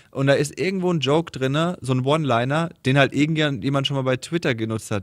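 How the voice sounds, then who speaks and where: A man is talking. His pace is very fast. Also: quiet background. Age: 30s. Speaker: podcast host, comedian. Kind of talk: casual chat. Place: studio.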